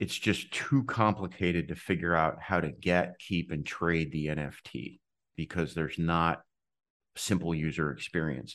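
A man's very deep, low voice with vocal fry, ordinary pitch variation and a fairly slow pace against a quiet background. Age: 50s. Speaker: tech entrepreneur. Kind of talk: interview.

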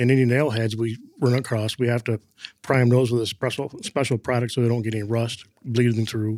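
A man speaks very fast with an American accent, at a medium pitch and in a monotone, flat intonation. The sound is dry and close, with no echo. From Michigan (Flint). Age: 40s. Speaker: painter. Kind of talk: interview. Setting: on-site office.

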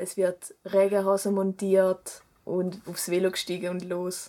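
Talking at a fairly slow pace, this woman keeps to a medium pitch. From German-speaking Switzerland, rural village. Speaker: student and cycling activist. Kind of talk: interview.

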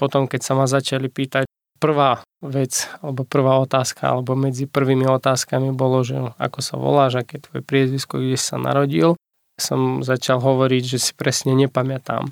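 Medium-pitched male voice, flat monotone, moderate pace, dry and close with no echo. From Ukraine. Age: 30s. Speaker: pastor. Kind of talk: testimony. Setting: studio.

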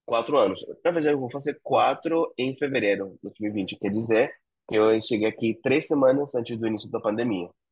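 A man with a Spanish accent, ordinary pitch variation, and a quiet background. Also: medium pitch for a man, moderate pace. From Argentina, Buenos Aires province. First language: Spanish (speaking Portuguese). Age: 40s. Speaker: entrepreneur. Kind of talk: interview.

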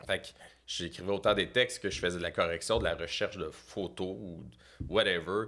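Very clean and silent in the background, the recording captures a man with a very deep, low pitch and a bright, sharp tone. He talks at a moderate pace with ordinary pitch variation. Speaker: comedian manager. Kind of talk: casual chat.

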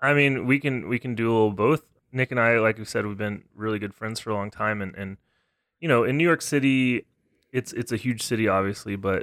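In an American accent, a man with an ordinary speaking voice talks at a fairly low pitch and a fairly quick pace with ordinary pitch variation, on a very clean recording with a silent background that sounds dry and close with no echo. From Texas. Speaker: trombonist and music professor. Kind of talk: casual interview chat.

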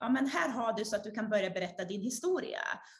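Somewhat breathy, a woman speaks at a fairly high pitch. Her pitch variation is ordinary. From Sweden. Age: 30s. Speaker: author and speaker. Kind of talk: interview.

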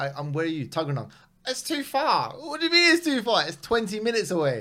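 With a London accent, a man speaks with ordinary pitch variation. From West London, England. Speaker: comedian. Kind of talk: casual chat.

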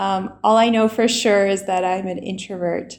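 A woman speaks at a fairly slow pace with a medium pitch. Her intonation stays fairly even. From US South, Alabama. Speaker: English teacher and blogger. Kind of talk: casual interview chat. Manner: hesitant, many fillers.

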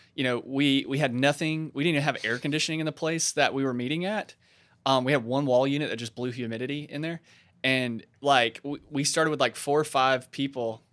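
A man with a normal speaking voice talks at a fairly quick pace with a fairly high pitch and fairly even intonation. The recording is very clean, with a silent background. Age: 20s. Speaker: church pastor and podcast co-host. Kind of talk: casual chat.

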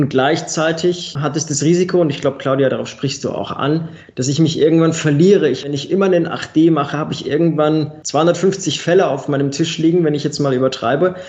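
At a fairly quick pace with hardly any pauses, a man with an unremarkable speaking voice talks at fairly high pitch. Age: 30s. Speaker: quality management consultant and trainer. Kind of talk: podcast interview.

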